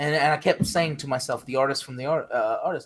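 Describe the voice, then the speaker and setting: A man with an American accent delivers his words fairly quickly. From US South, Jacksonville, Florida. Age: 30s. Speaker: live streamer. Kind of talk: casual chat.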